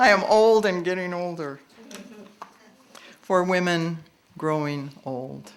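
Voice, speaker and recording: With an American accent, a fairly low-pitched woman speaks at a very slow pace with lively intonation and long, frequent pauses. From US Pacific Northwest, Portland Oregon. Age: 70s. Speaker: poet. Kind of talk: poetry reading with commentary.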